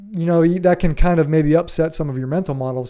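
A man speaks with a Midwestern American accent in a dark, mellow tone. The recording is very clean, with a silent background. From US Midwest, Ohio. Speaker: podcast host. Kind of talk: solo commentary on an article. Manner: casual, with hesitations and repetitions.

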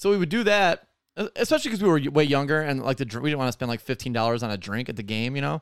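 In a very clean recording with a silent background and a dry, close sound with no echo, a man with an American accent speaks at a very fast pace with very wide pitch swings. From Detroit, US Midwest. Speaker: comedy podcast host. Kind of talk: casual comedy podcast chat. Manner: jokey, self-deprecating.

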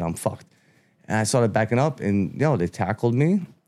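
In a Brooklyn accent, a man speaks with a fairly low pitch. His pitch variation is ordinary. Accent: New York (Brooklyn). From Brooklyn, New York City (Bensonhurst). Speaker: First Amendment auditor. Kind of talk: casual interview.

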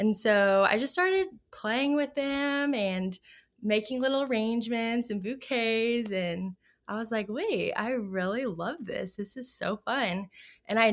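A woman's fairly high-pitched voice, a normal speaking voice, with lively intonation at a fairly slow pace, on a very clean recording with a silent background. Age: 20s. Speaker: flower farmer and wedding florist. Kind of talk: casual interview chat.

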